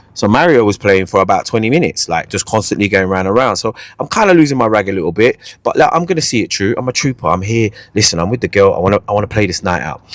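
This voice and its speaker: A man in a London accent talks very fast at a fairly low pitch, his tone animated and intonation lively. The sound is dry and close, with no echo. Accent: London Multicultural English. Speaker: podcast host, MC. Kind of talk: casual chat, comedic storytelling.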